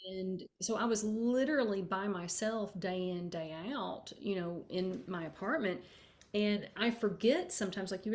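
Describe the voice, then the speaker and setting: With a strong Kentucky accent, a woman speaks in a somewhat breathy voice. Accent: thick Kentucky. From rural Kentucky. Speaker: author. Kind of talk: interview conversation.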